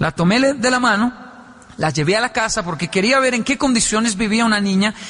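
Against noticeable background noise, a man talks at a fairly quick pace in a high, animated voice with ordinary pitch variation. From Colombia, Bogotá (Ciudad Bolívar). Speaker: motivational speaker. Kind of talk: motivational talk to an audience. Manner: animated, acting out dialogues.

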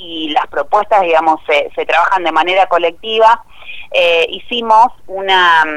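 Someone with an Argentine accent speaks at a fairly slow pace with ordinary pitch variation. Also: woman. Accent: Rioplatense Argentine Spanish. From Argentina, Santa Fe province (Cañada de Gómez). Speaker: provincial legislator. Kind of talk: interview. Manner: halting, many repetitions and fillers.

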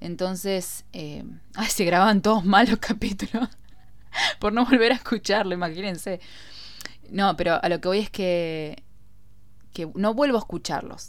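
Pausing long and often, a woman speaks at a moderate pace with a medium pitch and ordinary pitch variation. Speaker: podcast host. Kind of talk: casual monologue.

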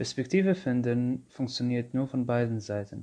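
Against a quiet background, a man speaks at medium pitch with a dark, mellow tone. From Syria. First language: Arabic (speaking German). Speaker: podcast host, social worker. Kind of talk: casual monologue.

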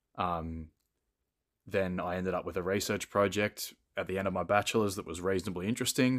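With an Australian accent, a man speaks fairly quickly in a very deep, low voice on a very clean recording with a silent background. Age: 20s. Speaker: podcast guest, fitness content creator. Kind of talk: casual chat.

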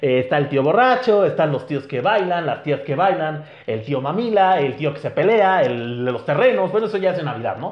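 This man's fairly high voice swings very widely in pitch, and he hardly pauses at all. Room echo can be heard. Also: moderate pace. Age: 30s. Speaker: podcast host. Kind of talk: casual chat.

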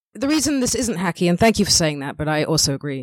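In a London accent, a woman talks at a very fast pace with very wide pitch swings, her sound dry and close with no echo. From northwest London, England. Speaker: stand-up comedian. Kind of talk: casual interview chat.

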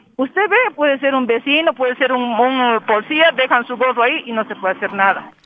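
The speech moves at a fairly quick pace. It has hardly any pauses. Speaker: local resident. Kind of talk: street interview.

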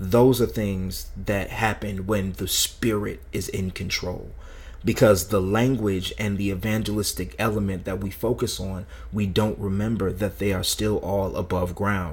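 With vocal fry and ordinary pitch variation, a man talks fairly slowly in a fairly low pitch. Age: 30s. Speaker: minister and podcast co-host. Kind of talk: casual faith discussion.

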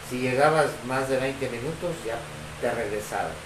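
A man speaks at a medium pitch and a fairly slow pace. Noticeable background noise and audible room echo surround his voice. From Ciudad Victoria, Tamaulipas, Mexico. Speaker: guest. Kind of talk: casual chat.

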